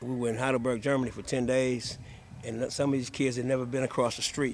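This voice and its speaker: A man talks at a very fast pace in a monotone, flat delivery, with noticeable background noise behind him. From Indiana. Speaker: high school basketball coach. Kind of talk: interview. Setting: on location at a high school. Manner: soft-spoken.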